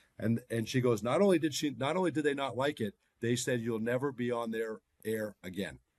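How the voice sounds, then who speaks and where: A man with an American accent and a plain, everyday voice, medium in pitch, with ordinary pitch variation and a fairly quick pace. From US, Boston, Massachusetts. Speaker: NBA team broadcaster. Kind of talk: podcast interview.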